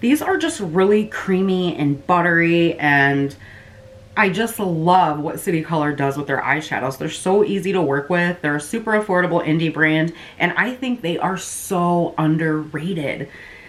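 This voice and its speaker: Pitch varies in a usual way while background noise stays clearly audible. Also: woman, fairly low pitch for a woman. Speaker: beauty youtuber. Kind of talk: product review vlog. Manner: fast; casual, filler-heavy.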